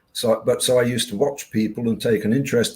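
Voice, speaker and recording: The pace is moderate. A man speaks at a medium pitch. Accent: British. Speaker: hypnotherapist and podcast host. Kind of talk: interview conversation. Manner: halting.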